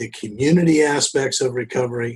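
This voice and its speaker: A man's somewhat breathy voice at a moderate speed, its pitch varying in an ordinary way. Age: 70s. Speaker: addiction medicine physician. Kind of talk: podcast interview.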